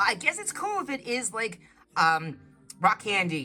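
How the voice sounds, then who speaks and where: Over noticeable background noise, a woman speaks at a moderate pace in a fairly high pitch with an animated tone. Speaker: craft channel co-host. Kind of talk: casual chat.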